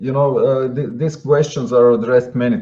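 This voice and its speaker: Lively intonation marks this man's medium-pitched voice. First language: not English. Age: 40s. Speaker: guest. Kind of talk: interview. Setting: live online show. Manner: halting, many fillers.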